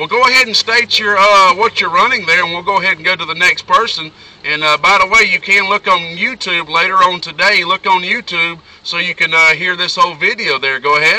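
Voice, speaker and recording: The recording is dry with no echo, as a man speaks in a raised, projected voice at a fairly quick pace. His pitch is high, with ordinary variation. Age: 20s. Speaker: radio hobbyist and amplifier builder. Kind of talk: radio contact exchange. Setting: radio transmission from a parked car. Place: car.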